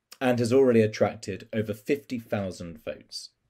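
Over a quiet background, a man talks at a moderate pace with a dark, mellow tone. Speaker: civil society coalition representative. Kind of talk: prepared statement. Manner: formal. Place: home room. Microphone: webcam.

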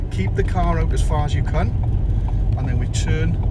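A man talks at a fairly quick pace with loud background noise behind him. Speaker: driving instructor. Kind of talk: driving tutorial commentary. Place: car. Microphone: phone near.

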